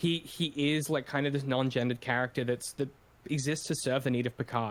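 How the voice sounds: In a natural reading voice, the intonation stays mostly flat.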